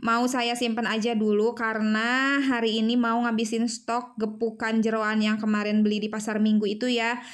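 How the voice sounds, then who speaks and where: In a room with audible echo, a woman with a fairly high, shrill voice speaks at a moderate pace in a flat monotone, her loudness very even and her pauses few. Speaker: homemaker vlogger. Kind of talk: casual vlog narration. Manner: chatty, hesitant with fillers.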